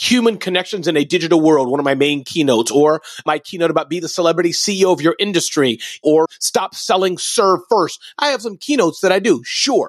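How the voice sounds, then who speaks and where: A man's high voice has an animated tone and lively intonation. The sound is dry and close, without echo. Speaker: entrepreneur and motivational speaker. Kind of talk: interview.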